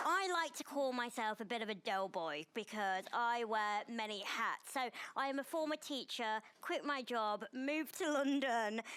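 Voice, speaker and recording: This woman's pitch runs fairly high. Her intonation is lively. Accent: northern English. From northern England. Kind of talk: panel chat show discussion. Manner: loud.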